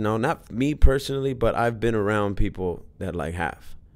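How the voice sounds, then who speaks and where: Lively intonation at a moderate pace with an American accent, in a very clean recording with a silent background. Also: man. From Los Angeles, US. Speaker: actor. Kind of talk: interview. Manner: halting, repetitive.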